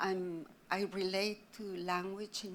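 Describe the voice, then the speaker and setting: In an Argentine accent, a woman speaks at a very slow pace with a medium pitch and fairly even intonation. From Argentina, Buenos Aires. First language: Spanish. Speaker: artist. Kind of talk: panel discussion.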